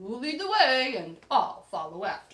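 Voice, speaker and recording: A female-sounding put-on character voice moves at a fairly slow pace. Its fairly high pitch swings very widely. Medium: read story.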